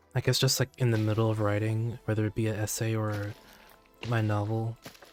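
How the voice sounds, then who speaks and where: Over music in the background, a man delivers his words at a fairly quick pace in a fairly low pitch with monotone, flat intonation. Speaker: game streamer. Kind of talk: casual live-stream chat. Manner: halting.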